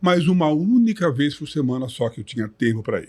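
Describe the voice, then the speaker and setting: A man's ordinary speaking voice at a fairly high pitch, moderate in pace with lively intonation, in a very clean recording with a silent background. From Brazil, São Paulo. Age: 60s. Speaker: retired bodybuilder. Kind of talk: podcast interview. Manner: articulate, measured.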